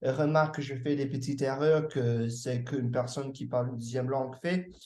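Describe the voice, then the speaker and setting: A dark, mellow voice in an English accent comes through with audible room echo. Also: man. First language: English (speaking French). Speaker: language learner. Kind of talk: casual chat. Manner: halting, many hesitations.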